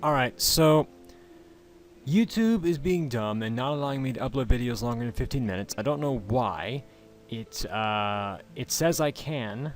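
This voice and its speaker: Here a man talks at a moderate pace, his intonation lively. It is an ordinary speaking voice. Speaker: let's play gamer. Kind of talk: game commentary.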